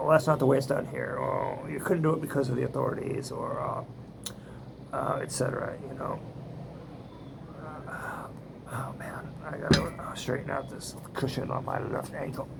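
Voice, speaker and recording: A man whispers at a moderate pace with long, frequent pauses, amid noticeable background noise and audible room echo. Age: 70s. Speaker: vlogger. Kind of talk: casual monologue. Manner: halting, many fillers.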